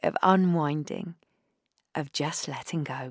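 A woman speaks at a fairly slow pace in a gentle, soothing tone with ordinary pitch variation, on a very clean recording with a silent background and a dry, close sound with no echo. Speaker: meditation guide. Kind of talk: guided breathwork meditation. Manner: slow, gentle, soothing; soft-spoken, calm, unhurried with long pauses.

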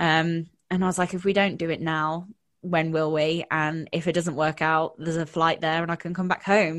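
Against a quiet background, a woman speaks at a moderate pace. Her pitch is fairly low and her intonation monotone and flat. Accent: British. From UK. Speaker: confidence and mindset coach. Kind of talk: casual interview chat.

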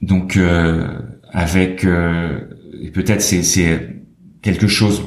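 Through noticeable background noise and audible room echo, a man speaks at a very slow pace with a very deep, low pitch, fairly even intonation and long, frequent pauses. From France (French Alps), teen years in New York. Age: 40s. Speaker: photography curator and gallerist. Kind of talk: interview. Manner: hesitant, many fillers and repetitions.

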